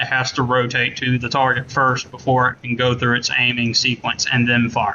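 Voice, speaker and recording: At a moderate pace, a man with a Southern US accent speaks at medium pitch. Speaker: gaming content creator and game modder. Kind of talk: tutorial. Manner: casual, with many fillers. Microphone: laptop mic, poor quality.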